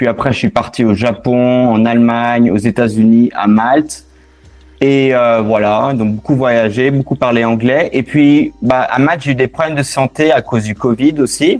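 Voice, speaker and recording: With a slight non-native accent, a man speaks at a fairly slow pace and fairly even intonation. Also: medium pitch for a man. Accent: slight foreign accent in French. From London and Barcelona, abroad. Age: 30s. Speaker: returning expatriate. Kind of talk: interview. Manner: hesitant.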